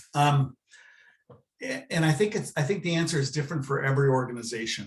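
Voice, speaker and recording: This man, fairly high-pitched and somewhat breathy, speaks very fast with an American accent and ordinary pitch variation. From Southern California. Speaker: university planned giving director. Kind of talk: webinar presentation. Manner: halting, many fillers.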